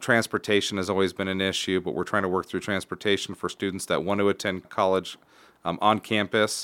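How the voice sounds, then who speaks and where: On a very clean recording with a silent background, a man talks at a fairly quick pace and fairly low pitch in a monotone, flat intonation. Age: 30s. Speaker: school superintendent. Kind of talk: casual interview. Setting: studio.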